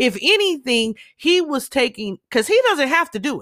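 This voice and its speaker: Recorded dry and close with no echo on a very clean recording with a silent background, a woman with an American accent speaks in an animated, bright, sharp tone at a high pitch with very wide pitch swings. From Southern California, Los Angeles. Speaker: podcaster. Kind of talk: monologue commentary.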